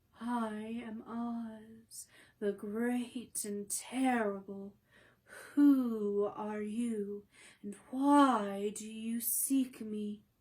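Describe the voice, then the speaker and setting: At a very slow pace, the speaker performs in a put-on character voice. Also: woman, fairly high pitch for a woman. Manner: quiet, imposing.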